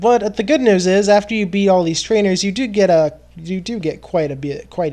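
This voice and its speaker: A man speaks with lively intonation and a high pitch. His pace is moderate. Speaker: gaming video commentator. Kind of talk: let's play commentary. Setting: voice recorded over sped-up gameplay with music. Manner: stuttering.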